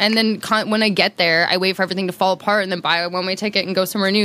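The voice runs at a very fast pace in a monotone, flat intonation, over noticeable background noise. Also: woman. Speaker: podcast guest. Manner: fast talker.

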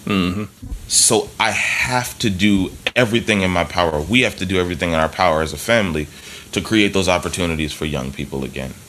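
With an American accent and a very deep, low pitch, a man talks at a very fast pace with ordinary pitch variation over noticeable background noise. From US Northeast, Philadelphia. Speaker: jazz drummer. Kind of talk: casual interview.

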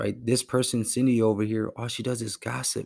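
A man speaks in a plain, everyday voice, fairly low in pitch, at a moderate pace with fairly even intonation. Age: 30s. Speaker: podcast host. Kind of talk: solo podcast monologue.

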